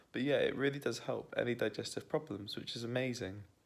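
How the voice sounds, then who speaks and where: Quiet and fairly quick, a man talks with fairly even intonation. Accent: British. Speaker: vegan keto cooking vlogger. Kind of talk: casual vlog chat. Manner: quiet, hushed.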